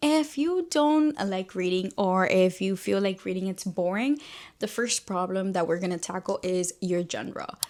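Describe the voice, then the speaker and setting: A woman's medium-pitched voice with a Spanish accent, lively intonation and a moderate pace, on a very clean recording with a silent background. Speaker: book YouTuber. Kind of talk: casual chat. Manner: animated.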